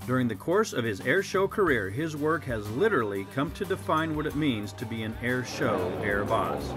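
The speech runs at a moderate pace with hardly any pauses and very wide pitch swings. Music plays in the background. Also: man, medium pitch for a man. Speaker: voiceover narrator. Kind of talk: awards presentation narration.

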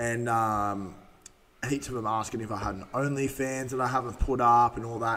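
His intonation stays fairly even. The man's speech keeps a moderate pace. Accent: Australian. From Australia. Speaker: podcast host. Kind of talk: casual chat. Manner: words run together. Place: studio. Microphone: studio mic.

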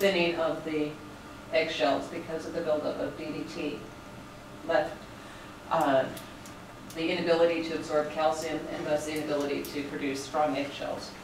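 Over noticeable background noise and audible room echo, a woman with a very deep, low pitch speaks in a monotone, flat way at a moderate pace, with long, frequent pauses. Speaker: lecturer. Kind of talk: lecture. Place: classroom. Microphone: camera far.

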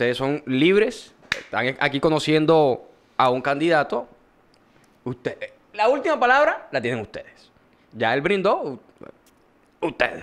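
A man speaks at a fairly slow pace in a fairly high pitch with very wide pitch swings. He takes long, frequent pauses. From Colombian Caribbean coast, Córdoba. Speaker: podcast host. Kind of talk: casual chat. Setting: studio.

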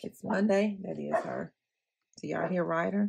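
Over a quiet background, a woman talks at a moderate pace. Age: 40s. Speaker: planner YouTuber; planner vlogger. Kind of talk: casual tutorial vlog. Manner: chatty, rambling.

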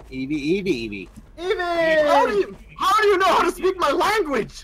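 A man speaks in a put-on character voice with extremely high pitch, very slowly. Light background noise is present. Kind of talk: comic creature-cry imitation. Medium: game stream. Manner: playful, squealing name cries.

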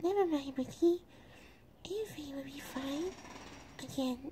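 A female-sounding, high-pitched put-on character voice speaks at a moderate pace. Background noise is clearly present. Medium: machinima. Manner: polite, cheerful.

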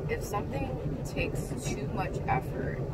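Loud background noise is heard as a woman talks. She speaks at a fairly slow pace. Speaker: vlogger. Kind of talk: casual reflective vlog chat. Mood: calm, reflective. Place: car. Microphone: phone near.

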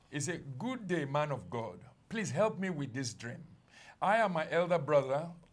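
This man has a fairly high pitch and a somewhat breathy sound. His pitch swings very widely. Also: moderate pace. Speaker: congregation member reading scripture; TV ministry host reading a viewer's dream. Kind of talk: reading aloud scripture. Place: studio. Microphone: lapel.

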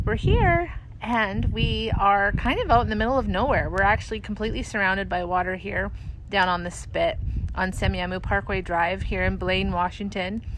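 A woman at a moderate pace, with dry sound and no echo, amid noticeable background noise. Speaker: resort host. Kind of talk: casual livestream chat. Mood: warm, upbeat. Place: waterside. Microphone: phone near.

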